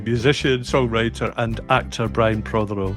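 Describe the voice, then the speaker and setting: A man is talking at a moderate speed. Behind him there is music. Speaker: podcast host. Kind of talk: podcast introduction.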